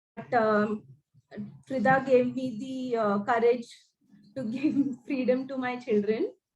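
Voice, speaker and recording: Her pitch high and her intonation fairly even, a woman speaks at a fairly slow pace with long, frequent pauses and big swings in loudness. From India, Mumbai. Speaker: parent. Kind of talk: casual chat.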